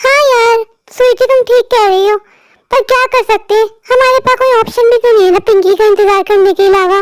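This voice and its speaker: A woman's cartoonish character voice, extremely high in pitch, at a fairly quick pace with fairly even intonation, very even loudness and a dry, close sound with no echo. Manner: whiny, snobbish.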